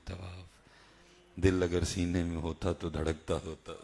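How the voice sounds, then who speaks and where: The voice has a dark, mellow tone and sounds somewhat breathy. Its intonation is monotone and flat. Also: man. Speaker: Islamic preacher. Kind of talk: religious sermon. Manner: emotional.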